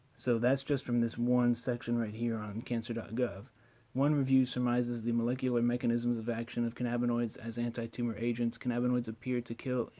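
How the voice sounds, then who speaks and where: A man talks at a fairly quick pace in a medium pitch. His tone is dark and mellow. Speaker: cannabis science explainer. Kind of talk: screen-share explainer. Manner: fast.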